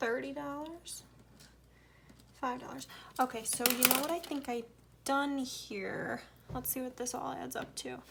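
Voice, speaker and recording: With noticeable background noise around her, a woman with an American accent speaks at a fairly slow pace in a high voice, using ordinary pitch variation and long, frequent pauses. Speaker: budgeting vlogger. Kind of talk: casual tutorial. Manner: casual, thinking aloud while counting.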